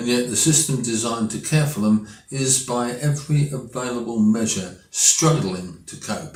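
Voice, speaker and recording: A man with an English accent at a fairly slow pace, ordinary pitch variation, and audible room echo. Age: 80s+. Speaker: political commentator. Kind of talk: opinion monologue.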